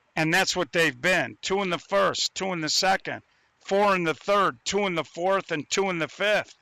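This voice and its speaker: A raised, projected voice with a bright, sharp tone and ordinary pitch variation speaks at a moderate pace, the sound dry and close with no echo on a very clean recording with a silent background. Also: man, high pitch for a man. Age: 60s. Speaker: sports commentator. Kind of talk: live commentary.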